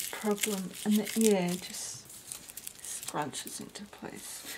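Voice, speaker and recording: Over noticeable background noise, a soft-spoken woman with an Australian accent speaks at a very slow pace with fairly even intonation. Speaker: crafter. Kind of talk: tutorial. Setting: home at night.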